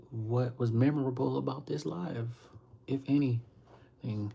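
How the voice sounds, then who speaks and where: A man's medium-pitched voice, dark and mellow in tone, somewhat breathy. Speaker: livestreamer and author. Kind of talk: casual livestream chat.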